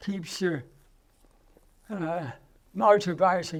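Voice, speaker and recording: A man speaks in an Australian accent. His pace is very slow, and his pitch varies in an ordinary way. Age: 80s+. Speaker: interviewee, retired businessman. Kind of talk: casual interview. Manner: halting.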